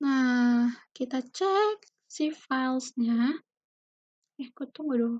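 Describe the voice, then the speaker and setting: Soft-spoken and high-pitched, a woman talks at a very slow pace with long, frequent pauses, the sound dry with no echo over a quiet background. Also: ordinary pitch variation. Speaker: university student; presenter. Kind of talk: tutorial. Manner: casual. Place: home room. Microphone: webcam.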